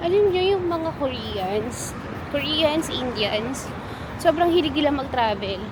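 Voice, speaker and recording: A soft-spoken woman's high voice at a very slow pace, with very wide pitch swings, audible room echo and noticeable background noise. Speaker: travel vlogger. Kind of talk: travel vlog narration. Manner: casual.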